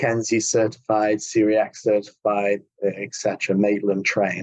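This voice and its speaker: Someone with an English accent talks in a dry, close sound with no echo. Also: man. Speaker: healthcare company CEO, physiotherapist. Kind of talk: podcast interview.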